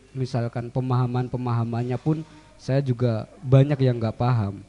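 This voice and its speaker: Over music in the background, a man talks in a monotone, flat intonation. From Central Java. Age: young. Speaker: young cultural heritage advocate. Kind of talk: radio interview. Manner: soft-spoken.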